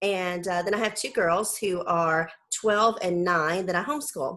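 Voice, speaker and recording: The speaker has a Southern US accent and talks at a moderate pace. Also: woman. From US South. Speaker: homeschool mom and blogger. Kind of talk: casual interview.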